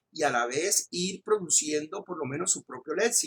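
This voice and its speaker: A man speaks at a moderate pace with a Colombian coastal accent, his voice high, raised and projected. The tone is bright and sharp, the intonation lively, and the sound dry and close with no echo. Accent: regional Colombian coastal. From Colombian Caribbean coast (Magangué, Bolívar). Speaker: law professor. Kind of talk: lecture. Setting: recorded online class. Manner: impetuous, raises voice when enthusiastic; hesitant fillers and repetitions.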